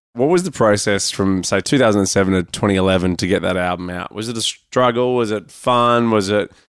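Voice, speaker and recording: Over a silent background in a very clean recording, a man speaks with an Australian accent at a fairly low pitch. His pace is moderate, his pitch variation ordinary, with hardly any pauses. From Sydney, Australia. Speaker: podcast host. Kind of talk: casual interview chat.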